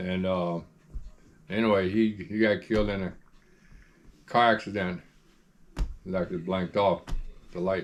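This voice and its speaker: With long, frequent pauses, a man speaks at a moderate pace in a very deep, low pitch and fairly even intonation. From North Carolina. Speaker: elder interviewed about family history. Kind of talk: oral history interview. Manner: halting, with many fillers.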